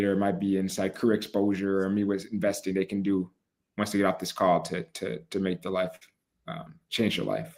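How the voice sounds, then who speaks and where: A man with an ordinary speaking voice, fairly low in pitch and fairly quick in pace, is heard on a very clean recording against a silent background. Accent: American. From Chicago, US Midwest. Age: 20s. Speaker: podcast host and entrepreneur. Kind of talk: casual panel discussion.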